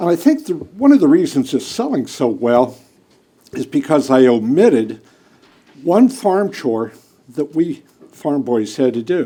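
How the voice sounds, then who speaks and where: Lively intonation runs through the speech. It comes with a western Pennsylvania accent. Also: man. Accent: western Pennsylvania American. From Pennsylvania, US (Pennsylvania Dutch country). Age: 70s. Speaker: political talk host and activist. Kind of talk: political speech.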